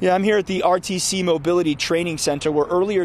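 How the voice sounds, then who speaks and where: A man talks at high pitch with ordinary pitch variation. The sound is dry with no echo, and there is light background noise. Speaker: TV news reporter. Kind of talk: news report stand-up. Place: street. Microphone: handheld.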